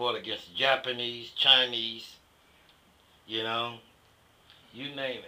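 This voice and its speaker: Big swings in loudness, monotone, flat intonation, long, frequent pauses, and a fairly slow pace. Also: man, medium pitch for a man. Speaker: war veteran. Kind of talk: interview answer. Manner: casual, conversational.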